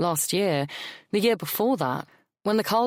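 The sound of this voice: An unforced reading voice with lively intonation. The background is quiet.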